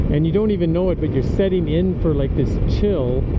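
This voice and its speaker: Loud background noise surrounds a man as he talks. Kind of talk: casual vlog chat. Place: motorbike. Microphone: helmet.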